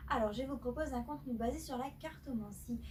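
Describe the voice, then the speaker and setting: Audible room echo surrounds a woman's voice. There is noticeable background noise, and she keeps a moderate pace. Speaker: tarot card reader. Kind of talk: tarot reading monologue. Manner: hesitant, many filler sounds; speaking loudly.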